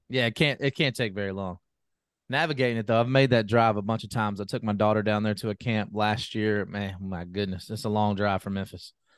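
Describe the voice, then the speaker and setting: With an ordinary speaking voice, a man talks at a fairly quick pace and a fairly low pitch, with ordinary pitch variation against a quiet background. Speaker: sports podcast co-host. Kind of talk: casual sports chat.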